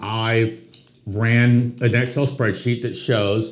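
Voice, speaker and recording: A man with a medium pitch speaks at a very slow pace amid audible room echo. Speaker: real estate agent, podcast co-host. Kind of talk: casual conversational podcast.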